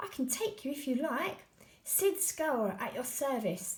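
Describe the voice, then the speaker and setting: Putting on a character voice, a woman cackles in a shrill, high pitch with very wide pitch swings at a fairly slow pace. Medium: read story. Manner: blunt, cackling.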